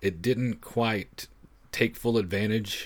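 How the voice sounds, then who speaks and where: At a moderate pace, a man with an unremarkable speaking voice talks in a fairly low pitch with ordinary pitch variation. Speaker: guest film podcaster. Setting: video call.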